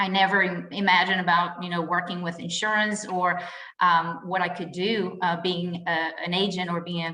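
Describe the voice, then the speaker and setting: A woman talks at medium pitch with audible room echo. Noticeable background noise is present. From Brazil. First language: Portuguese. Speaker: insurance agent. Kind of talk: podcast interview.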